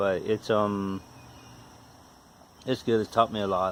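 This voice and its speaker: A man speaks with an Appalachian accent. His pace is moderate. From West Virginia. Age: 40s. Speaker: DIY car repair YouTuber. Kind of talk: casual DIY tutorial talk. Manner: halting, with repetitions and fillers.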